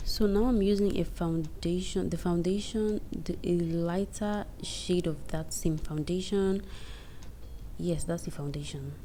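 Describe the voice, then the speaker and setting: A woman's dark, mellow tone at a fairly low pitch, fairly slow and fairly even in intonation, with audible room echo. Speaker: beauty vlogger. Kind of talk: tutorial.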